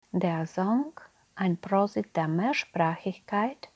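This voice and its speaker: In a Slovak accent, a woman speaks at a very slow pace with a dark, mellow tone at medium pitch. Her pitch varies in an ordinary way, and the sound is dry and close with no echo. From Slovakia. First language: Slovak (speaking German). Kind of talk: interview.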